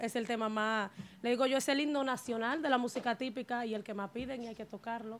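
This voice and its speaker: At a fairly quick pace, a woman talks in an ordinary speaking voice, fairly high in pitch with fairly even intonation. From Dominican Republic, Río San Juan, Nagua. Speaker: merengue típico musician. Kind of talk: interview. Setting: studio.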